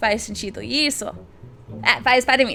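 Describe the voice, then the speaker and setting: Over noticeable background noise, a woman with an English accent uses an animated tone, a high pitch and ordinary pitch variation. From United States. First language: English (speaking Portuguese). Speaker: YouTuber. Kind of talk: casual vlog talk.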